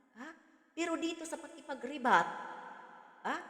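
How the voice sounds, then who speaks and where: A woman is heard through noticeable background noise and audible room echo. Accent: Visayan. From Visayas, Philippines. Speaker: vlogger. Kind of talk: reaction vlog commentary. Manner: loud, forceful.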